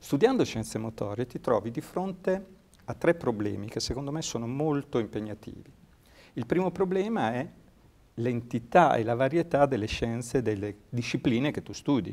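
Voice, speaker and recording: A man talks at a moderate pace in a plain, everyday voice, pitched at a medium level. His intonation is lively. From Ravenna, Italy. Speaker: sports science researcher and lecturer. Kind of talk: interview. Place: studio. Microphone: lapel.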